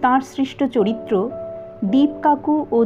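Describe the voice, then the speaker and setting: A woman's voice with music in the background. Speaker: audiobook narrator. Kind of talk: audiobook introduction.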